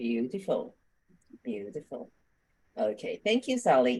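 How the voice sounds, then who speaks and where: Vocal fry runs through a woman's dark, mellow voice as it makes very wide pitch swings. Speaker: coach, group host. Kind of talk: group facilitation. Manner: animated.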